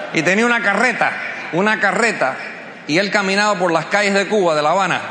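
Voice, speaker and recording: The tone is animated. Noticeable background noise sits behind the voice. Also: man. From US, Cuban-American family. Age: 50s. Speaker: motivational speaker. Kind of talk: motivational speech. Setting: stage with audience.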